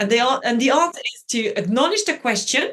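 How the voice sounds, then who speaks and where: With a French accent, a woman talks at a fairly quick pace in an animated tone. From France (Brittany). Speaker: journalist and media trainer. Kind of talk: interview.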